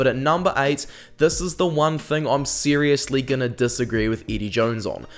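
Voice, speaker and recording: A man with a fairly high pitch talks at a fairly quick pace with ordinary pitch variation. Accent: New Zealand. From New Zealand. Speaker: rugby YouTuber and analyst. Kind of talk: casual commentary video. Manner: hesitant, many ums.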